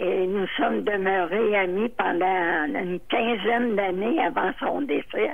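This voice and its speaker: A woman talks at a very slow pace with lively intonation and hardly any pauses. Background noise is noticeable. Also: medium pitch for a woman, very even loudness. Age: 80s+. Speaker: retired legal secretary. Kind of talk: interview answer.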